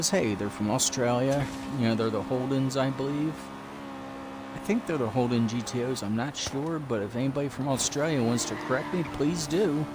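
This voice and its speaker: A man with an American accent talks at a fairly quick pace in a medium pitch, with ordinary pitch variation, audible room echo and noticeable background noise. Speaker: gaming streamer. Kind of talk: live gameplay commentary. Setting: live stream. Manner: casual, chatty.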